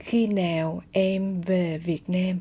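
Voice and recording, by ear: A female-sounding voice puts on a character voice at a medium pitch for a woman.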